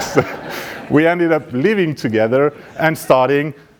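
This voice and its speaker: A man with a French accent speaks with lively intonation. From France, Paris. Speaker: startup founder. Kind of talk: pitch presentation.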